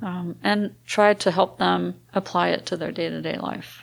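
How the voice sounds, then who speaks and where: An unremarkable speaking voice keeps a moderate pace and fairly even intonation on a very clean recording with a silent background. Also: woman. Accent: American. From grew up in France, American family. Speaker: missionary. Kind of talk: interview.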